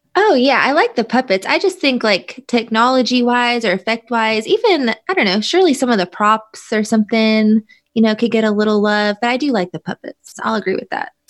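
A woman's ordinary speaking voice, fairly quick, with lively intonation and hardly any pauses, in a dry, close sound with no echo. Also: fairly high pitch for a woman. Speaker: podcast host guest. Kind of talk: casual chat.

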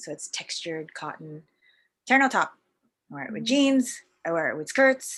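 In a Canadian accent, a woman with a high pitch speaks at a moderate pace, with very wide pitch swings and big swings in loudness. Long, frequent pauses break up her speech on a very clean recording with a silent background. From Canada, Vancouver. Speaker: fashion entrepreneur. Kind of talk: casual interview.

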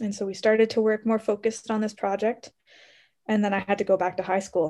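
A woman with a Canadian accent has a normal speaking voice, fairly high in pitch, and talks at a fairly quick pace. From Canada, Ontario. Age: 20s. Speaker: medical researcher and medical student. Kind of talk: interview.

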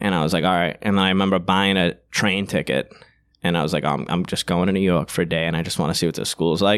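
With a strong Boston accent, a man races along at a very fast pace in a very deep, low voice with monotone, flat intonation. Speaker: comedian. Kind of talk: casual chat.

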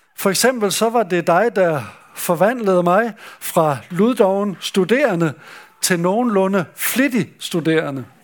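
A man with a high pitch speaks at a very slow pace. His intonation is lively while his loudness stays very even. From Denmark, West Jutland (Skjern). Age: 70s. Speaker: retired pastor, camp speaker. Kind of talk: sermon. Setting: summer camp meeting with audience. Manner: hesitant, with fillers.

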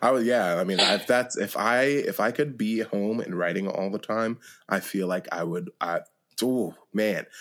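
A man with a plain, everyday voice talks at a fairly slow pace in a very clean recording with a silent background. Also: fairly low pitch for a man, ordinary pitch variation. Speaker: podcast host. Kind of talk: interview conversation.

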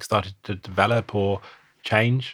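A man's fairly low voice with a British accent, fairly even intonation, on a very clean recording with a silent background. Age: 40s. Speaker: podcast host. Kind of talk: casual chat.

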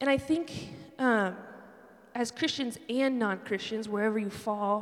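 This woman's voice sits fairly high. She talks at a moderate speed. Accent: Western New York. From Buffalo, New York. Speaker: campus ministry director and worship leader. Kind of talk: sermon. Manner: casual, conversational with many fillers.

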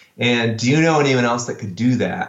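Here a man at medium pitch speaks at a fairly quick pace with ordinary pitch variation. Audible room echo surrounds the voice. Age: 40s. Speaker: worship pastor. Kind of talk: casual chat.

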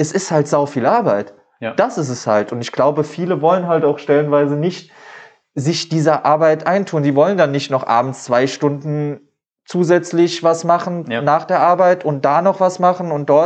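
An ordinary speaking voice from a male speaker at a moderate pace, fairly high in pitch and with ordinary pitch variation. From Saarland, Germany (Dudweiler, Saarbrücken). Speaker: plant seller and small business owner. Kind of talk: casual interview.

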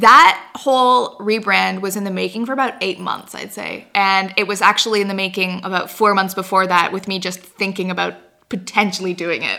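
Using an ordinary speaking voice, a woman of medium pitch talks at a moderate pace with fairly even intonation. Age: 20s. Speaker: YouTuber and blogger. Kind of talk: casual chat. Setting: in person studio interview.

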